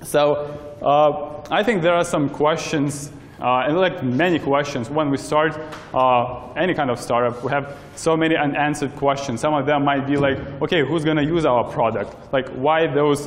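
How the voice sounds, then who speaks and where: Fairly even intonation carries a man's speech at a moderate speed. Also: very even loudness. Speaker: presenter. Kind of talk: lecture. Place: hall. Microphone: camera far.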